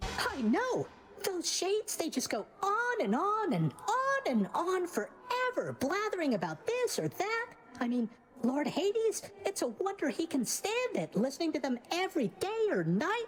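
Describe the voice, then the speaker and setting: An extremely high put-on character voice swings very widely in pitch at a moderate pace. Clear background noise runs underneath. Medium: video game. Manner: casual, upbeat.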